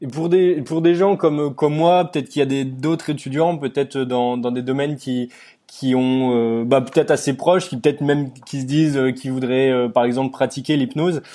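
At a fairly quick pace, the voice keeps a dark, mellow tone and fairly even intonation. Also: man, fairly high pitch for a man. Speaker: podcast host. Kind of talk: interview.

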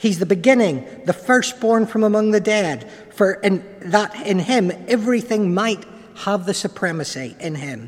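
Noticeable background noise surrounds a man with an Irish accent. He talks at a moderate pace in a high pitch. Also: ordinary pitch variation. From Ireland. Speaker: preacher. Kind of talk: sermon. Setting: church.

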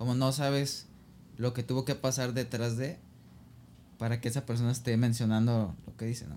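Recorded very cleanly against a silent background, a man speaks at a fairly quick pace in a medium pitch with fairly even intonation, an ordinary speaking voice. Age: 20s. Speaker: podcast guest. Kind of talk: casual chat.

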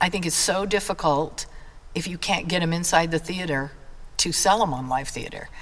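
Over noticeable background noise, a woman with an American accent speaks at a fairly low pitch with ordinary pitch variation. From Idaho, US. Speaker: drama teacher and community theater leader. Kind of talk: casual interview.

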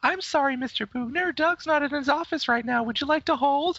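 Someone does a put-on character voice, pitched high and moving at a fairly quick pace. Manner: mock-polite, comedic.

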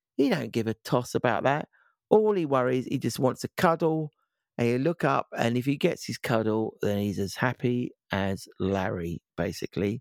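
A man with a British accent at medium pitch, moderate pace and lively intonation, in a very clean recording with a silent background and a dry, close sound with no echo. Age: 50s. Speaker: podcast host. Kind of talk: casual chat.

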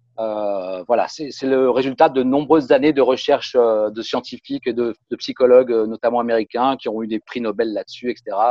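The delivery moves at a moderate pace with fairly even intonation. There are hardly any pauses. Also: man, medium pitch for a man. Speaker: communications consultant and musician. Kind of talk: interview. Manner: halting with repetitions.

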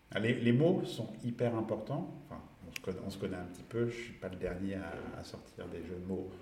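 With lively intonation and big swings in loudness, a man speaks at a moderate pace and a fairly low pitch. Noticeable background noise and audible room echo fill the recording. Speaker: social media consultant. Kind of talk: casual chat. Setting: studio. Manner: halting.

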